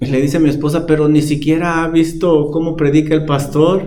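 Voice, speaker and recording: A man talks with a fairly high pitch. Audible room echo and noticeable background noise surround him. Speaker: pastor. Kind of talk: sermon. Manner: calm, not shouting.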